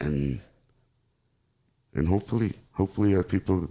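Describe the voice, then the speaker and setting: With a Spanish accent, a man speaks at a moderate pace in a very deep, low pitch and a dark, mellow tone. The recording is very clean, with a silent background. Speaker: podcast host. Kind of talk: casual interview.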